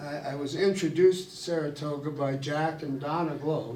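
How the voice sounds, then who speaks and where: Fairly even intonation at a fairly slow pace, with audible room echo and noticeable background noise. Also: man. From Ohio, US Midwest. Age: old. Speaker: retired neurosurgeon. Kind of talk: public talk. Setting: room with live audience. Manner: halting.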